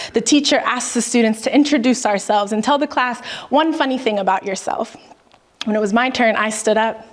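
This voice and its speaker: A woman at a fairly high pitch with ordinary pitch variation, fairly quick in pace, with noticeable background noise. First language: Spanish. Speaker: spoken word poet. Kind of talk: spoken word poetry performance. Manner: expressive, rhythmic.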